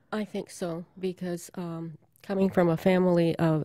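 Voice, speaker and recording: Her voice is fairly low for a woman, with a dark, mellow tone and flat, monotone intonation. The recording is very clean, with a silent background. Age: 70s. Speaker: interviewee. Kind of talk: recorded family conversation.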